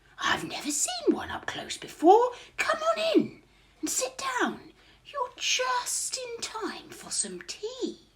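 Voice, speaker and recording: Using a put-on character voice, a woman speaks at an extremely high pitch with very wide swings. Her pace is fairly slow. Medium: read story.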